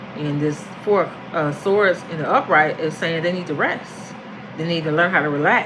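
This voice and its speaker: Noticeable background noise fills the clip. The speech comes at a moderate pace. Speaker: tarot reader. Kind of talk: tarot reading monologue. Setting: at home, apartment.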